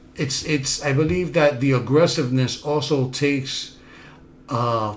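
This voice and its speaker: Someone with a Bronx accent speaks at a fairly slow pace with ordinary pitch variation. There is audible room echo. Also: man. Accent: Bronx New York way of speaking. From New York City, South Bronx. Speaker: self-help podcast host. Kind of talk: motivational talk.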